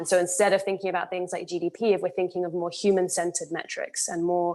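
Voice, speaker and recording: At a very fast pace, a woman talks with monotone, flat intonation. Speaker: panelist. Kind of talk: panel discussion.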